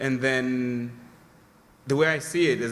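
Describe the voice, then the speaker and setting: A man with a non-native accent speaks very slowly at a medium pitch, his tone bright and sharp. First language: not English. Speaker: audience member asking a question. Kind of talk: audience question. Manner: halting, many fillers.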